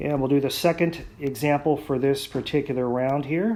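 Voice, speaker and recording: A man with an unremarkable speaking voice, a fairly high pitch and a moderate pace. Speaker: math teacher. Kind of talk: lecture.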